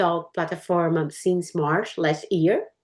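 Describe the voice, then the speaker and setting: With a Portuguese accent, a woman at medium pitch talks at a very slow pace. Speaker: English learner. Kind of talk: casual chat.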